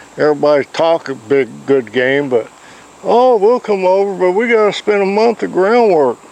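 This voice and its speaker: Over noticeable background noise, a man with a high pitch speaks at a moderate pace, his loudness very even while his pitch swings very widely. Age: 70s. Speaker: horse trainer. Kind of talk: casual instructional talk.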